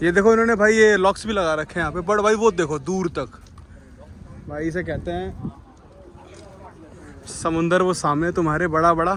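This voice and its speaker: Speaking at a moderate pace with long, frequent pauses, a man with a slight Marathi accent uses a high pitch and ordinary pitch variation. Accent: slightly Marathi-tinged Hindi. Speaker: travel vlogger. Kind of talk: casual vlog narration. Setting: outdoors. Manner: animated.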